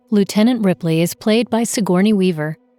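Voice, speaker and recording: A woman talks at a moderate pace with medium pitch and ordinary pitch variation. Music plays behind her, and the sound is dry and close with no echo. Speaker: audio describer. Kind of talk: audio description narration.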